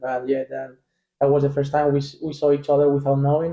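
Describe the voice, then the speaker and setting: In a Spanish accent, a man talks with monotone, flat intonation at a fairly high pitch. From Spain. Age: 20s. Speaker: professional soccer player. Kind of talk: casual chat.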